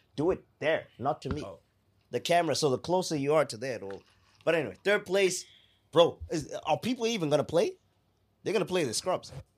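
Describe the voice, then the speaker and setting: A man with a fairly high pitch and vocal fry talks at a fairly quick pace with lively intonation and long, frequent pauses, on a very clean recording with a silent background. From Zimbabwe. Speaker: podcast co-host. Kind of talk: casual chat.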